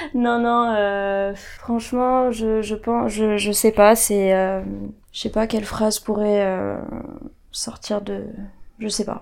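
Speaking at a very slow pace with long, frequent pauses, a woman keeps a fairly high pitch in a monotone, flat intonation. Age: 20s. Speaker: guest sharing experience of depression. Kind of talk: testimony. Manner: halting.

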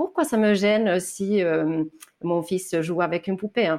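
A woman's medium-pitched voice at a very slow pace, on a very clean recording with a silent background. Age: 30s. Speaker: author on anti-sexist parenting. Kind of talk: interview. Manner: hesitant, many fillers.

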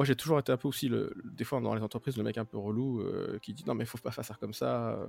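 Talking at a very fast pace, a man keeps a medium pitch, fairly even intonation and a dark, mellow tone, recorded with a dry, close sound and no echo. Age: 30s. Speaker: mobile app developer. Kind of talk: casual chat.

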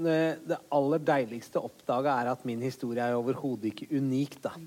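This man has a normal speaking voice, medium in pitch with ordinary pitch variation. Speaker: comedian. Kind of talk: live podcast interview.

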